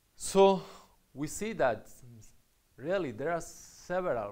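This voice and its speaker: A man's voice with audible room echo. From Spain (Catalonia). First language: Spanish or Catalan. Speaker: university lecturer. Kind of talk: lecture. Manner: halting, with fillers.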